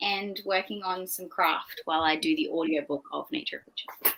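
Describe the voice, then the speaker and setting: A bright, sharp tone at a moderate pace, in an Australian accent. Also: woman. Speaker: booktuber. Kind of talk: casual chat.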